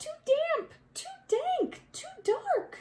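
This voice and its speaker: A woman puts on a squeaky character voice at an extremely high pitch. Her intonation is lively. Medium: read story.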